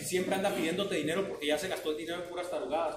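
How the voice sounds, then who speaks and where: Over noticeable background noise and audible room echo, a man speaks very fast in a high voice. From Mexico. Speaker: flagger safety instructor. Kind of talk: training class. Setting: classroom with trainees. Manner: conversational, asks the class questions. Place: classroom. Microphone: camera far.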